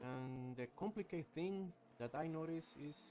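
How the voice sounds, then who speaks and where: In a non-native accent, the speaker's dark, mellow tone moves at a fairly slow pace with ordinary pitch variation. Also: man. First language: not English. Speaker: sim racing commentator. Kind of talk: live commentary. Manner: halting; animated.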